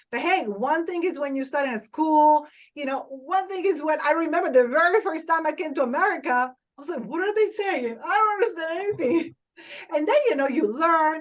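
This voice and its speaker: A woman with an Italian accent speaks at a fairly quick pace, her intonation lively. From Italy. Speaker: social media influencer and TV host. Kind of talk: podcast interview. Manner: enthusiastic.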